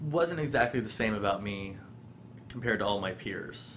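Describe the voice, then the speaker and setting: Someone with an American accent talks at a fairly slow pace, with ordinary pitch variation. The room echo is audible. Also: man. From US, Colorado (Boulder). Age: 20s. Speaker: vlogger sharing personal story. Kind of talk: personal testimony vlog. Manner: halting, many ums.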